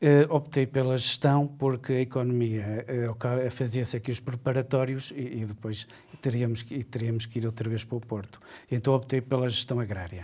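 Fairly even intonation from a man with a somewhat breathy, dark and mellow voice. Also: moderate pace. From Portugal. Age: 50s. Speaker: university administrator; interviewee. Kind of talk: interview. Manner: halting. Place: studio.

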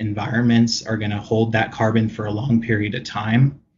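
A man with a somewhat breathy voice speaks at medium pitch in a monotone, flat intonation. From Hawaii. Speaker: restoration consultant. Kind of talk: interview.

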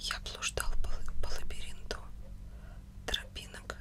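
Whispering, a woman speaks at a very slow pace. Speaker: ASMR content creator. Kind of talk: book reading, audiobook style. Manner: whispered, soft. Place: home room. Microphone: studio mic.

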